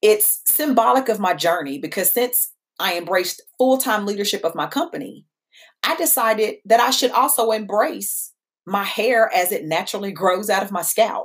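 An American-accented woman speaks at a moderate pace in a fairly high pitch. Her pitch swings very widely. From Kentucky (Danville). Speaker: podcast host and founder of a tech company. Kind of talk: podcast monologue.

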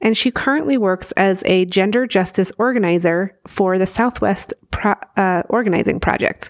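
At a moderate pace, a woman speaks in an ordinary speaking voice of medium pitch, her intonation fairly even and the sound dry and close with no echo. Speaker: podcast host. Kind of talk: interview.

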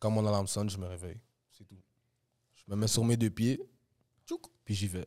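A man with a fairly low pitch and a dark, mellow tone speaks in a monotone, flat intonation, with big swings in loudness and long, frequent pauses, on a very clean recording with a silent background. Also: fairly quick pace. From Montreal, Quebec. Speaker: rapper. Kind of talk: casual chat.

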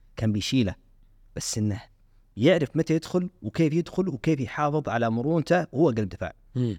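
Over a very clean recording with a silent background, a man speaks at a moderate pace with lively intonation, the sound dry and close with no echo. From Saudi Arabia. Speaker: actor and presenter. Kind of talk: casual chat. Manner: animated.

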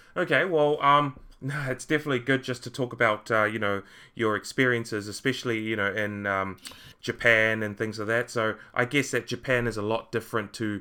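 The speaker has a New Zealand accent, a bright, sharp tone and fairly even intonation. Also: man. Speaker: podcast host. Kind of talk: casual interview. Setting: online call.

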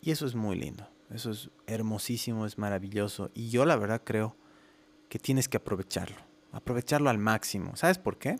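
Recorded with a dry, close sound and no echo, a man talks at a moderate pace and medium pitch with ordinary pitch variation. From Bolivia, La Paz. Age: 30s. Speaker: music producer and podcast host. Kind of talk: solo podcast monologue. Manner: hesitant fillers, casual.

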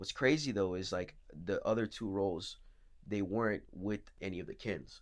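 Speaking at a moderate pace with ordinary pitch variation, a man with an American accent has a fairly low pitch. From Florida. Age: 20s. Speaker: actor. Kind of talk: interview. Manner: hesitant.

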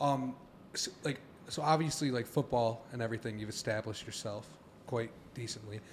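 Somewhat breathy, fairly quick speech with ordinary pitch variation and long, frequent pauses. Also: man, medium pitch for a man. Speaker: podcast co-host. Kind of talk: casual chat.

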